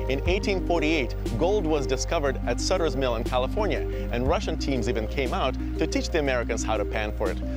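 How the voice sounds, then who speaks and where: Clear music plays in the background. A man speaks very fast in a dry sound with no echo. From Russia. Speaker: TV show host. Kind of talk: documentary travel narration. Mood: solemn in memorial segments. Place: open country. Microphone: lapel.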